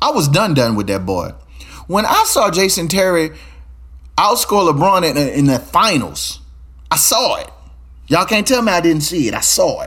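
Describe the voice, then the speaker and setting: A man with an American accent speaks in an animated tone, leaving long, frequent pauses. There is audible room echo. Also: moderate pace. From Louisiana, Baton Rouge. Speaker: podcast host. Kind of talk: casual monologue.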